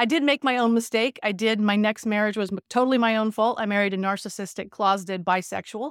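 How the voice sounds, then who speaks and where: Speaking very fast, a woman with an American accent keeps a medium pitch and ordinary pitch variation. The recording is very clean and dry, close with no echo, against a silent background. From California. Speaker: business and sports psychologist. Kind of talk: casual interview.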